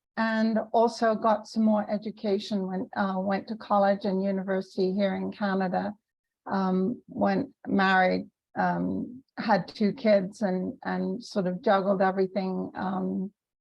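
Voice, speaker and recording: Somewhat breathy delivery at a fairly slow pace, with fairly even intonation. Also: woman, medium pitch for a woman. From UK. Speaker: business consultant and podcast host. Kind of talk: interview.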